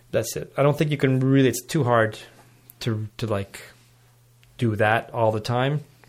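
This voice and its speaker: A Montreal accent with long, frequent pauses on a very clean recording against a silent background. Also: man, medium pitch for a man, ordinary pitch variation, moderate pace. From Montreal West Island, Quebec. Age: 40s. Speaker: jazz blues guitarist. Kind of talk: casual chat.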